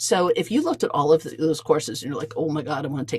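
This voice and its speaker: A woman's very deep, low voice at a very fast pace, with ordinary pitch variation and noticeable background noise. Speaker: QuickBooks trainer. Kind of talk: webinar presentation.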